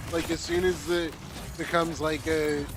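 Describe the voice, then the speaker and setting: Over noticeable background noise, a man speaks loudly at a high pitch and a moderate pace. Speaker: gaming streamer. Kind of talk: casual chat.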